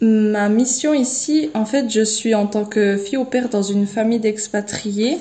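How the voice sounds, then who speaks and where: A woman's fairly high voice comes through with noticeable noise behind it. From Switzerland. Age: 20s. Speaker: au pair on a mission. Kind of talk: personal testimony. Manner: halting, many repetitions and hesitations.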